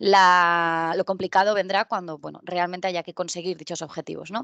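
A woman in a normal speaking voice talks at a moderate pace and medium pitch, with a dry sound with no echo and a quiet background. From Spain, Albacete (Castilla-La Mancha); Castilla-La Mancha, Spain. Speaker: tech conference speaker; conference speaker. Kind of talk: conference talk. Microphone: headset.

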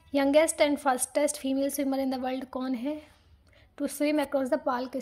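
In a high pitch, a woman speaks with a dark, mellow tone and monotone, flat intonation. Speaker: exam-prep teacher. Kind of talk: tutorial.

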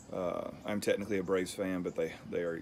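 Music plays in the background. A man talks at a moderate pace. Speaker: beer review vlogger. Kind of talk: casual vlog chat. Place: home room. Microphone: phone near.

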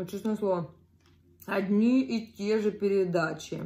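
Speaking very slowly, a woman keeps her intonation fairly even. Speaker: eating vlogger. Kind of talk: casual vlog chat while eating. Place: home room. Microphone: phone near.

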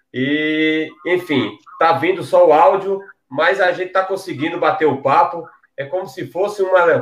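Audible room echo surrounds a man speaking fairly slowly in a high pitch with fairly even intonation. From Paraíba, Brazil. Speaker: online show host. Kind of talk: interview. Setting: video call. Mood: friendly, relaxed. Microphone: headset.

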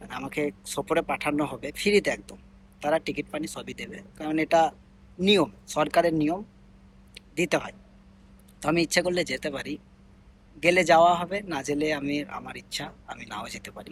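A man with a fairly high voice speaks with ordinary pitch variation and big swings in loudness. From India, Bengali-speaking region. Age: 20s. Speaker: migrant domestic worker and vlogger. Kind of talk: personal vlog monologue. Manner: halting, with many pauses and fillers.

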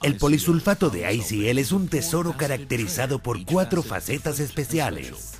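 Clear music plays in the background as a man talks at a fairly slow pace. His voice moves through very wide pitch swings. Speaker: voice actor. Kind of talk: TV commercial read. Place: studio.

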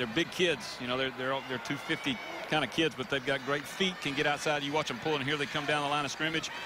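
A man at a fairly high pitch and very fast pace, animated in tone, with noticeable background noise. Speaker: football analyst. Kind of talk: live sports commentary. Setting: stadium broadcast booth. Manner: animated, quick-paced analysis between plays.

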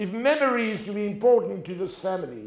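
A man's high voice with a South African accent, moderate pace and ordinary pitch variation, audible room echo and a quiet background. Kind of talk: talk before an audience. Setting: stage with audience. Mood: warm, humorous storytelling. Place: stage. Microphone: lapel.

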